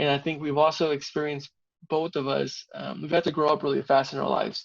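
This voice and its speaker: A man with a Spanish accent talks very fast at a fairly high pitch with fairly even intonation. The background is quiet. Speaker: civil engineer. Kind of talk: interview.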